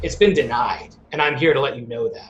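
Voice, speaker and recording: A man puts on a character voice at a fairly high pitch. He goes at a fairly quick pace, with big swings in loudness. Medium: actual play. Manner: cold, haughty.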